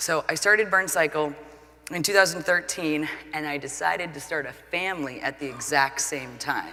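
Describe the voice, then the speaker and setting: A woman with an American accent speaks at a moderate pace in a very deep, low voice, with ordinary pitch variation and big swings in loudness. Her tone is energetic and passionate, and noticeable background noise sits behind her. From US Pacific Northwest, Portland, Oregon. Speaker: entrepreneur, fitness studio founder. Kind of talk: keynote talk. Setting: stage with audience. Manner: energetic, passionate.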